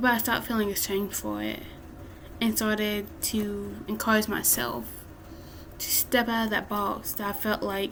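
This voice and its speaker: A woman talks at a fairly slow pace. Audible room echo fills the recording. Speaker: self-help vlogger. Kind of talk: motivational talk.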